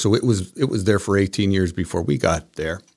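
A man's fairly low voice with ordinary pitch variation at a fairly quick pace, on a very clean recording with a silent background. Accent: American. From Parma, Ohio (Cleveland suburbs). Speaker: small business owner. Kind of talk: casual interview.

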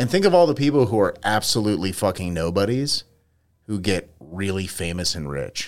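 A man with an ordinary speaking voice talks at a fairly quick pace. His pitch is fairly low and his intonation lively. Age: 40s. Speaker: podcast co-host. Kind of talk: casual chat.

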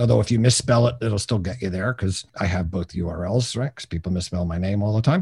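A man with an American accent talks at a very fast pace. His voice is fairly low and somewhat breathy. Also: ordinary pitch variation, hardly any pauses. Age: 60s. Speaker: business coach. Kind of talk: interview.

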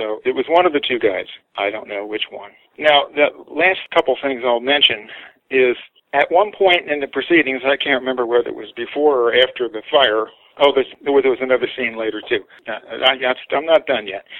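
Speaking in an unremarkable speaking voice with an American accent, a man talks at a fairly high pitch and moderate pace with ordinary pitch variation. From United States. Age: 60s. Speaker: artist. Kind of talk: interview storytelling.

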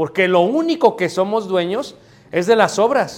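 A man speaks with lively intonation. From Mexico City. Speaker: preacher. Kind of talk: sermon. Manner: halting.

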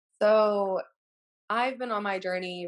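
A woman with an American accent speaks in an unremarkable speaking voice, with ordinary pitch variation and a fairly slow pace. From Texas, Wichita Falls. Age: 20s. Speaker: guest speaking about weight struggles. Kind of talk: casual chat.

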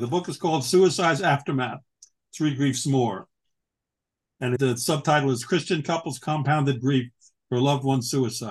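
Against a quiet background, a man with an American accent talks at a fairly high pitch and moderate pace, somewhat breathy, with ordinary pitch variation and long, frequent pauses. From New York. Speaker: author and retired chemical industry worker. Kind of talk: interview.

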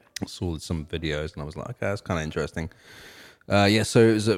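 Recorded very cleanly against a silent background, a man speaks with lively intonation in a very deep, low pitch. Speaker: music podcast co-host. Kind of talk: casual chat. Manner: relaxed, filler-heavy.

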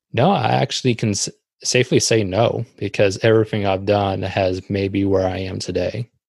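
Moderate pace from a man with fairly low pitch, dry and close with no echo, over a quiet background. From US Pacific Northwest (Tacoma, Washington). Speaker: graphic designer and podcast host. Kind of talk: interview. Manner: halting, with fillers.

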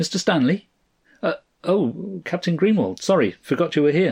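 In a put-on character voice, a man speaks at a fairly high pitch with lively intonation. There is vocal fry, a slightly husky edge and a slightly mellow tone. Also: moderate pace.

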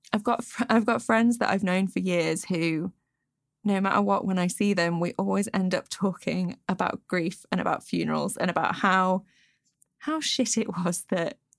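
In a Derbyshire accent, a woman speaks at a moderate pace and medium pitch with very even loudness, in a very clean recording with a silent background. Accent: northern English (Derbyshire). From England, Peak District (Derbyshire). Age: 20s. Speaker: toy maker and podcaster. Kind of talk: casual interview. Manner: casual, filler-heavy ('like', 'um').

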